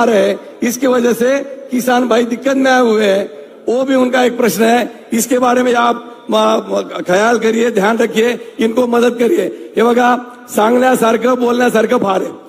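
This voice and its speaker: A Marathi accent heard over noticeable background noise. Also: man. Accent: Marathi-accented Hindi. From Maharashtra, Nashik district. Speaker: local politician. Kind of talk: political speech.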